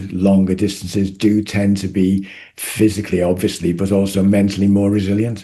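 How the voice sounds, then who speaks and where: A fairly low-pitched man with a dark, mellow tone speaks at a moderate pace in a monotone, flat intonation. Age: 70s. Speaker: retired doctor and ultra runner. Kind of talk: interview. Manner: halting.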